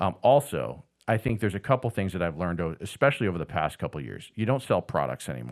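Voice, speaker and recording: In an American accent, a man with a very deep, low pitch and vocal fry speaks at a very fast pace with very wide pitch swings, on a very clean recording with a silent background. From Boston area, then New Jersey. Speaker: business owner, former radio broadcaster. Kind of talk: casual interview.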